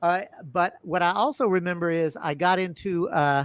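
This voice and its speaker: A man with a Texas accent, high pitch and ordinary pitch variation, in a very clean recording with a silent background. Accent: Southern US (Texas). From US South, Texas. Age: 60s. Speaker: podcast host. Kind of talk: casual interview chat. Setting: live stream. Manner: animated storytelling.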